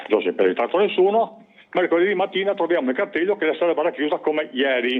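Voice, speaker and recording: Animated in tone, a man speaks at a high pitch with very wide pitch swings. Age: 70s. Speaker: caller. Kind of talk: phone-in complaint. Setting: phone call.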